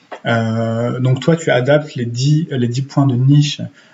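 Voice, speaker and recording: A man speaks at a medium pitch, somewhat breathy. His intonation stays fairly even. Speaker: YouTuber and writer giving writing and Instagram tips. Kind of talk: casual tutorial. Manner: hesitant with many fillers.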